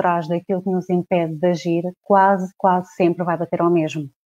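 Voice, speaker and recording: The speech comes at a moderate pace with monotone, flat intonation against a quiet background. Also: woman. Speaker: coach. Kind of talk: livestream talk to followers. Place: home room. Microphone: earbuds.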